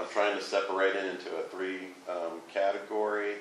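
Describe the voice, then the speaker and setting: A man talks at a moderate pace in a very deep, low, monotone voice with flat intonation. Audible room echo and light background noise surround him. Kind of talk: meeting report. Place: meeting room. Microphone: camera far.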